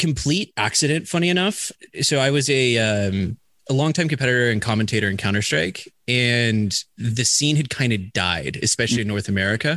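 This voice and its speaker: A man's normal speaking voice of medium pitch, fairly quick and lively in intonation, very even in loudness, over a quiet background. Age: 30s. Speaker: esports commentator turned business development manager. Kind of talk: casual interview.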